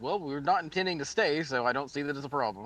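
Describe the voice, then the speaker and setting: Someone rattles off lines at a very fast pace in a gruff, put-on character voice. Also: man, fairly high pitch for a man. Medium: actual play. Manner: gruff, curt.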